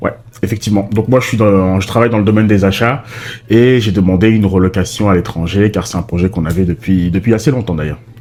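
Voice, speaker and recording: Against noticeable background noise, a man with a fairly low pitch talks at a very fast pace with fairly even intonation. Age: 30s. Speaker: vlogger, father. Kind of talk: casual chat.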